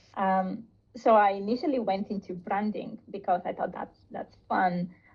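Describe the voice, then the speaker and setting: A woman with a Bulgarian accent speaks at a moderate pace and a medium pitch. Her voice is somewhat breathy, with fairly even intonation. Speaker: product designer. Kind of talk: interview.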